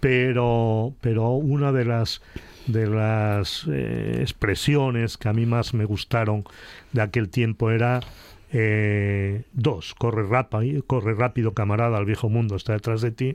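His intonation is fairly even and his loudness very even. The man holds a medium pitch at a very slow pace. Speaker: radio panelist. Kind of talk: panel debate.

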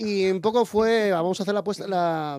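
This is a very clean recording with a silent background. A man talks throughout. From Asturias, Spain (Lugones). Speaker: heavy metal singer. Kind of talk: radio interview. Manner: halting, many fillers.

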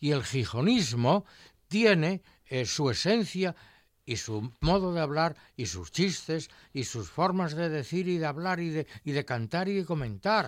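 Fairly high-pitched male speech at a fairly slow pace, lively in intonation, on a very clean recording with a silent background. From Asturias, Spain (Colunga). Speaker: retired science teacher and food historian. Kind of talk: casual chat. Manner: animated.

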